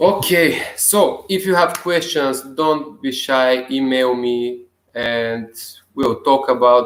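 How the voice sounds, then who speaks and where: With a non-native accent, a man speaks very slowly at a medium pitch with ordinary pitch variation. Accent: non-native English speaker. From Bulgaria. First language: Bulgarian. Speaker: self-help video blogger. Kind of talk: casual vlog monologue. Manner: halting.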